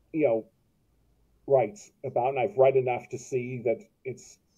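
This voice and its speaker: A man speaks with an American accent at a fairly slow pace. His voice is somewhat breathy. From US West Coast, Los Angeles. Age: 60s. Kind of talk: interview. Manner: halting, many repetitions and self-corrections.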